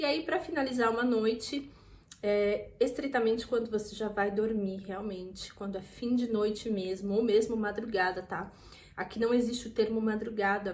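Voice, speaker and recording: In a Brazilian accent, a somewhat breathy woman speaks at a moderate pace with a fairly high pitch and ordinary pitch variation, and audible room echo surrounds her voice. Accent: Brazilian accent when speaking French. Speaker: vlogger. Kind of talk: casual tutorial. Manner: informal, chatty with frequent fillers.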